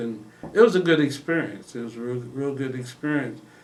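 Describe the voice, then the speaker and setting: A man with a medium pitch speaks amid audible room echo. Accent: American. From Illinois, Quincy. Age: 60s. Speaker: retired police officer and investigator. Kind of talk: casual interview conversation.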